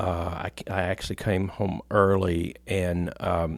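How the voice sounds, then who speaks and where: A man with an American accent. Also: very clean recording, silent background. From US military town. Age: 60s. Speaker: pastor. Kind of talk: interview before a live audience. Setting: stage with live audience. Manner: halting, with fillers.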